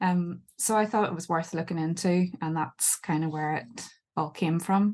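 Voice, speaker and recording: A woman's fairly low voice with a Northern Irish accent. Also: ordinary pitch variation, moderate pace. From Northern Ireland. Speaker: book editor and author. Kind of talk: podcast interview. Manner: hesitant, many fillers.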